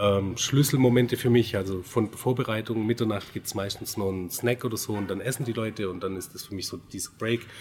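Fairly low in pitch and somewhat breathy, a man speaks at a fairly quick pace with fairly even intonation. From Swabia, Baden-Württemberg (Göppingen). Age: 40s. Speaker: wedding photographer. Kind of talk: casual interview.

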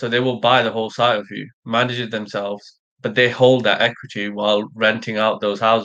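A man talks at a fairly quick pace with hardly any pauses. His medium-pitched voice stays monotone and flat. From Sri Lanka. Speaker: architect and construction company founder. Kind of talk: live panel discussion. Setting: online live stream.

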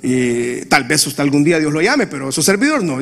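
A man with a fairly high pitch speaks at a moderate pace with lively intonation over noticeable background noise. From Honduras. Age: 40s. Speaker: pastor. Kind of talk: sermon.

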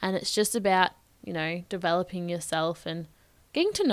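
With an Australian accent, a woman talks at a fairly quick pace. Her pitch is fairly low and varies in an ordinary way. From Australia, Bendigo, Victoria. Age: 20s. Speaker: podcast host. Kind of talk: solo advice monologue. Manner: casual, conversational.

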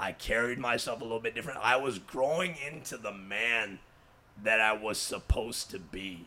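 Animated, bright, sharp delivery at a moderate pace, with ordinary pitch variation. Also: man, medium pitch for a man. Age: 20s. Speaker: podcast co-host. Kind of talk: casual chat.

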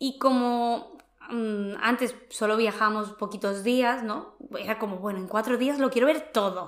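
A woman speaks in an ordinary speaking voice, pitched fairly high. Her pace is fairly slow and her intonation fairly even. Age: 30s. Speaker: personal development podcast host. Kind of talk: casual chat.

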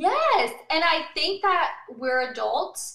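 A woman uses a raised, projected voice with a bright, sharp tone, speaking at a very slow pace. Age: 30s. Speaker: restaurant owner. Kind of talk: interview.

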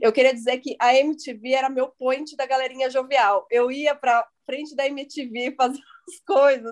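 A woman's high-pitched voice. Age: 30s. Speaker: podcast host. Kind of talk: casual chat.

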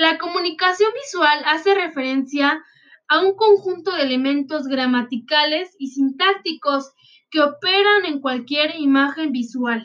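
A woman speaks in a high pitch with ordinary pitch variation. Her pace is fairly slow. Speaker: student presenting a class assignment. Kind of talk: school presentation read aloud.

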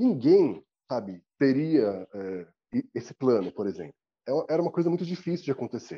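Man at medium pitch and moderate pace, with very wide pitch swings and long, frequent pauses. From Brazil, São Paulo city. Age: 40s. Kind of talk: interview.

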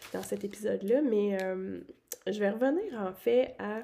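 In a Quebec accent, a woman talks at a very slow pace with a fairly high pitch. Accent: Québécois French. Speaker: podcast host. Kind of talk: solo monologue podcast. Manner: casual, many hesitations.

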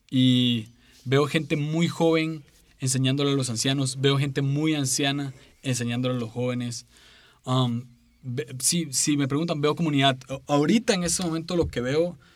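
On a very clean recording with a silent background, a man talks at a moderate pace. His pitch is fairly high, with ordinary variation. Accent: Costa Rican. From Costa Rica, San José. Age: 20s. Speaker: podcaster and preacher. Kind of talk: casual interview. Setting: studio.

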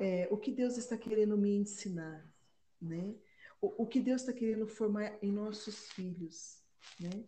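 A woman speaks in a fairly high pitch with a dark, mellow tone, a somewhat breathy quality and fairly even intonation. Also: fairly slow pace. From Brazil, Campinas (São Paulo state). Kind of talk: casual religious discussion.

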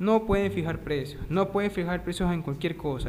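Audible room echo surrounds a man as he talks at a fairly quick pace. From Ecuador. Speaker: podcast host, economics student. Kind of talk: casual interview podcast. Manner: halting, many fillers.

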